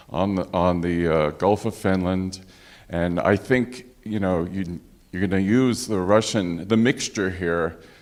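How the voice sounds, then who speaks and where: Speaking fairly slowly with a New York accent, a man uses a very deep, low pitch and ordinary pitch variation. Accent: New York American English. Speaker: physician, audience member. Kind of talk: panel discussion audience comment.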